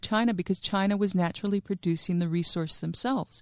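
In a dry, close sound with no echo, a woman speaks with an American accent at a medium pitch. Hers is an unremarkable speaking voice with ordinary pitch variation. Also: very clean recording, silent background. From New Mexico, US. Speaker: regional development executive. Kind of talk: interview. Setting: studio.

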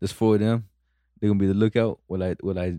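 Over a quiet background, a man with an American accent speaks in a very deep, low pitch with a dark, mellow tone. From Immokalee, Florida. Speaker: podcast co-host. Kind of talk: casual chat.

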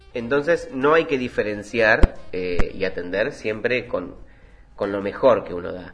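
With a Rioplatense accent, a man speaks at a fairly slow pace amid noticeable background noise. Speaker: podcast host, former restaurant worker. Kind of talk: solo podcast monologue.

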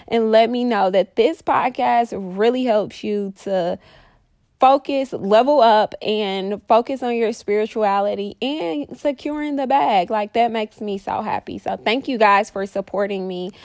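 The woman's pitch is fairly high, with ordinary variation and a fairly slow pace. Her recording is very clean with a silent background, and the sound is dry and close with no echo. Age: 30s. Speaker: podcast host and mindset coach. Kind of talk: casual solo monologue. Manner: animated.

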